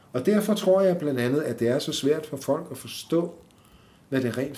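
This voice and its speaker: In a room with audible echo, a man speaks fairly slowly in a fairly high, somewhat breathy voice with lively intonation. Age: 60s. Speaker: podcast guest with multiple sclerosis. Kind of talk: interview. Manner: halting.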